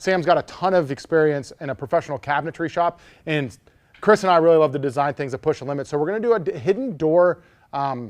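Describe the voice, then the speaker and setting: Energetic in tone, a man with a fairly high pitch and ordinary pitch variation speaks at a very fast pace in a dry, close recording with no echo. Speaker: woodworking youtuber. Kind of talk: live stream chat. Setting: live stream. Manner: casual, energetic.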